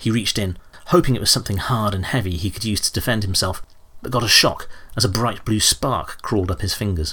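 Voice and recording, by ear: The text is read aloud. It comes in a natural voice.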